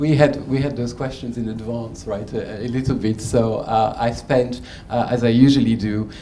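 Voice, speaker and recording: A man at medium pitch, fairly slow and fairly even in intonation, amid audible room echo and noticeable background noise. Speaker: learning and development executive, panelist. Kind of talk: panel discussion. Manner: halting, many fillers.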